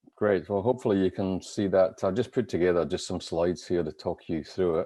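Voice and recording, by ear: A man puts on a croaky character voice with a very deep, low pitch. He speaks at a fairly quick pace.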